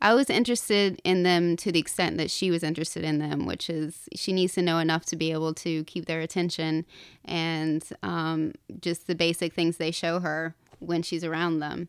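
A woman with an ordinary speaking voice, fairly low in pitch, with an American accent and fairly even intonation, in a very clean recording with a silent background. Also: moderate pace. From US South, North Carolina (Appalachia). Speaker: novelist. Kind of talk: interview.

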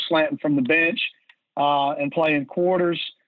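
Using an Alabama accent, a man talks in a fairly high pitch with monotone, flat intonation. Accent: US Southern (Alabama). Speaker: high school football defensive coordinator. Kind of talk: technical coaching interview. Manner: halting, many fillers.

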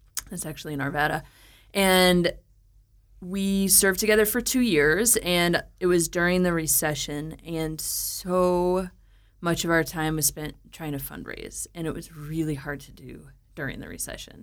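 A woman with an American accent has an ordinary speaking voice, fairly low in pitch, at a moderate pace with ordinary pitch variation. Her loudness swings widely in a very clean recording with a silent background. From US Midwest (St. Louis, Missouri). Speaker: brewery co-founder. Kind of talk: interview.

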